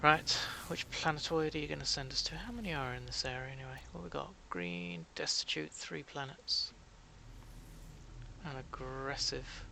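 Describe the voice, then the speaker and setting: The man has a British accent and a moderate pace. He leaves long, frequent pauses. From Britain. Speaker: gaming streamer. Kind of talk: live game stream commentary. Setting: live stream. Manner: soothing and calming; relaxed, chatty.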